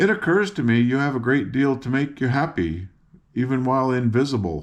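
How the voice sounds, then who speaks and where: A man puts on a character voice at a medium pitch. He talks at a fairly quick pace. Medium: read story.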